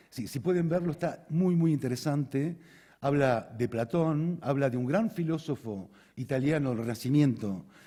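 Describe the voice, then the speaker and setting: A man with a dark, mellow tone and a fairly high pitch, his intonation lively. The recording is very clean, with a silent background. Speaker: conference speaker, osteopath. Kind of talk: conference talk. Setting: stage with audience. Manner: fast; halting, repeats words.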